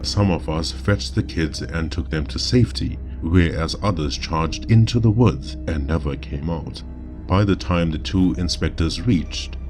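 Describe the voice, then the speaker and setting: A very deep, low male voice with lively intonation at a fairly slow pace, music in the background. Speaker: storyteller. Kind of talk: horror story narration.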